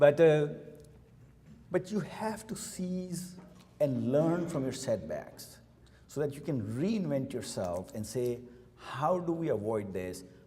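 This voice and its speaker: A man's fairly high voice, very slow with long, frequent pauses and very wide pitch swings, in audible room echo. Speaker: company CEO. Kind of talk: keynote speech. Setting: luncheon event with audience.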